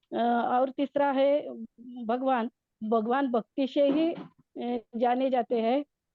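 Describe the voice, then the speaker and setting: A woman with a Marathi accent speaks in a high pitch, her intonation monotone and flat. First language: Marathi (speaking Hindi). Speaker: devotee participant. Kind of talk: devotional study recap. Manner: halting, many fillers.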